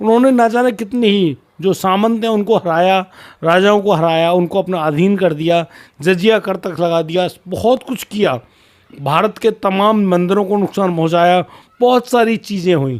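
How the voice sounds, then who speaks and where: A man talks very slowly at a high pitch with ordinary pitch variation. The recording is very clean with a silent background. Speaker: storytelling YouTuber. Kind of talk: storytelling narration. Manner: slurred, sounds drunk to some; casual, conversational.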